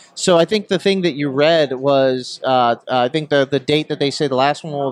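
A man with a normal speaking voice talks at a fairly high pitch with ordinary pitch variation, heard as a dry, close sound with no echo. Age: 30s. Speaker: interviewer. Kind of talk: casual interview.

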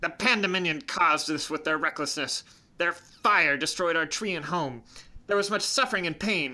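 Someone performs a put-on character voice. The pitch sits in the middle range. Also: moderate pace. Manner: stern, proud, grieving.

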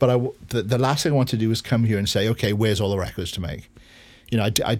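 With a Welsh accent and ordinary pitch variation, the voice comes through on a very clean recording with a silent background. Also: man. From Wales. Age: 50s. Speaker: record producer. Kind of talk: interview.

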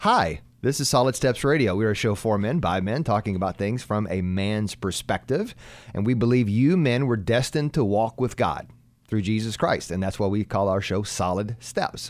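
A man's fairly low voice with ordinary pitch variation, at a moderate pace. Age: 40s. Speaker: radio host. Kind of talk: casual chat. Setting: studio.

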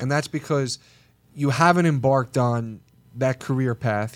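In a very clean recording with a silent background, a man with an ordinary speaking voice talks at a fairly quick pace, medium pitch and fairly even intonation. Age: 20s. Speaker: podcast co-host, TV personality. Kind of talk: casual chat. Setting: studio.

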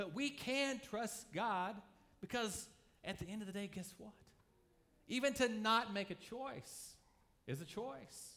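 A raised, projected voice with a bright, sharp tone comes at a fairly slow pace, with ordinary pitch variation, long, frequent pauses and audible room echo. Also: man, high pitch for a man. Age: 40s. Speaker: pastor. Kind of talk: sermon.

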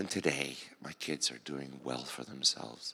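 A man's voice has a bright, sharp tone with vocal fry. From United States, child of immigrants. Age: 60s. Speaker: pastor. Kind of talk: sermon. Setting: stage with audience. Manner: casual, humorous.

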